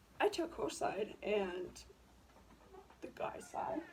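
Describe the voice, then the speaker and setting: Noticeable background noise sits behind the recording. A woman speaks at a fairly high pitch. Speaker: YouTuber. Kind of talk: casual commentary vlog. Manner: hesitant, many fillers.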